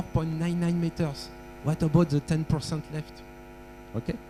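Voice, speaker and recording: A man with a French accent speaks. His tone is dark and mellow, and his pitch is fairly high. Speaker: workshop presenter on aeronautical data. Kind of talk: technical workshop lecture with audience quiz. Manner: halting, with frequent fillers.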